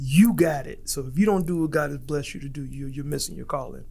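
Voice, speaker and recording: Audible room echo surrounds a man who speaks very fast with ordinary pitch variation. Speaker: stand-up comedian. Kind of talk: casual interview chat. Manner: casual, hesitant with fillers.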